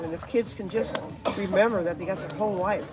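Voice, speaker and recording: Music plays behind a voice that moves at a fairly quick pace. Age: 80s+. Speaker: action sports stunt performer. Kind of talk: live stream chat. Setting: outdoors at a skatepark. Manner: animated.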